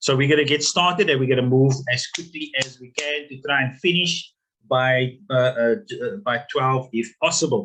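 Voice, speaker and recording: A man with a fairly high pitch and ordinary pitch variation, bright and sharp in tone, with big swings in loudness. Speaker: business workshop facilitator. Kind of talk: webinar lecture. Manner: fast; halting, many fillers and repeats.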